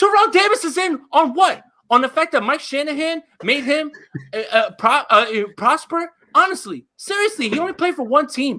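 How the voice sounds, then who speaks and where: The voice is loud and animated in tone, moving at a moderate pace. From New Jersey. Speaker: sports podcaster. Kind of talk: heated debate.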